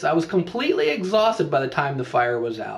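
Pitched high, a man talks at a fairly quick pace. His pitch swings very widely. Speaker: pastor coach. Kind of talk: teaching talk with a story. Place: home room. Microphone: webcam.

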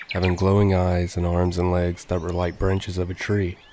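In a deadpan tone, a man speaks with a very deep, low pitch over noticeable background noise. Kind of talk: scripted horror narration. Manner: grave, measured, deadpan storytelling with ominous tone.

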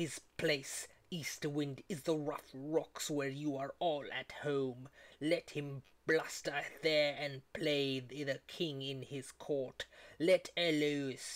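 A put-on character voice, low-to-middle in pitch, at a very slow pace. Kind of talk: epic poetry reading. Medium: read story. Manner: commanding, scolding.

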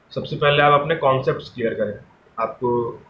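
The voice runs monotone and flat, with audible room echo and light background noise. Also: man. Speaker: exam prep advice vlogger. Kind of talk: casual advice vlog. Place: home room. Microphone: phone near.

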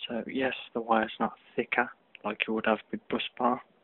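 A man speaks quietly. His intonation is flat and monotone. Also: dry sound with no echo. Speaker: DIY hobbyist. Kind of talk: tutorial; casual tutorial. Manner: hesitant, many fillers. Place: home room. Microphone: phone near.

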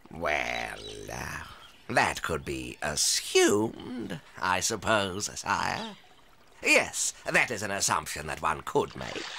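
Put-on character voice from a man, very deep, low pitch, raspy, very slow pace, long, frequent pauses. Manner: obsequious, flattering, evasive.

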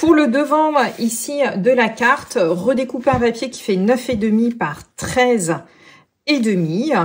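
A woman with a high pitch talks at a very slow pace. Her intonation is lively. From France. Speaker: craft demonstrator. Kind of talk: tutorial. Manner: animated. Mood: calm, friendly instruction.

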